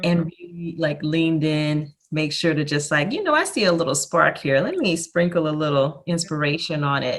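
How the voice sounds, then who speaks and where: With an ordinary speaking voice, a woman talks at a moderate pace in a fairly low pitch, with fairly even intonation and hardly any pauses. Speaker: interviewer. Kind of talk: interview host talk.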